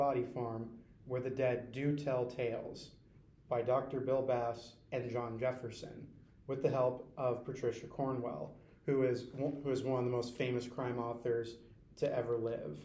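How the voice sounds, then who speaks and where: The delivery moves at a medium tempo. Its intonation stays flat and monotone. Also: man. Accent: American. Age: 20s. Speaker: community college student. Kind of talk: school book report presentation. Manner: stuttering, repeats words.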